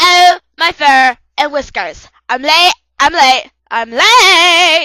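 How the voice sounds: A put-on character voice, high in pitch, speaks at a very slow pace.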